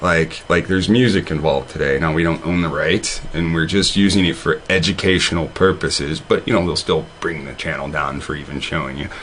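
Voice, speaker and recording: A man's very deep, low voice at a fairly quick pace with hardly any pauses, ordinary pitch variation, and noticeable background noise. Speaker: online video host. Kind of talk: casual monologue. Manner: halting, many fillers and repeats; stutters when reading.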